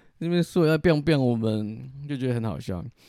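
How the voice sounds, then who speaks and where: Lively in intonation, a man talks at medium pitch in a dark, mellow tone. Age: 30s. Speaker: podcast host, former social worker. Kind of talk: casual solo monologue. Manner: casual, rambling with fillers.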